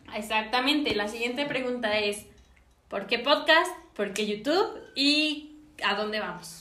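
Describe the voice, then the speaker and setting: Audible room echo surrounds a woman's voice. Her intonation is lively. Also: fairly high pitch for a woman, fairly slow pace. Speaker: podcast co-host. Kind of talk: casual chat.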